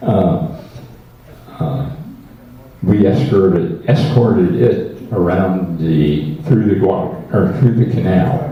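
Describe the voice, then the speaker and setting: With an American accent, a man of fairly low pitch speaks at a very slow pace with long, frequent pauses and very wide pitch swings, amid audible room echo and noticeable background noise. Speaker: war veteran. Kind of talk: testimony. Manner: halting.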